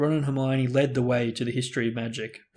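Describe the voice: The clip is plain reading aloud. Intonation holds fairly level.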